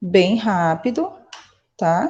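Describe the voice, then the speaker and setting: Somewhat breathy, a woman speaks with lively intonation and a dark, mellow tone. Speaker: high school chemistry teacher. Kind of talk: online lecture.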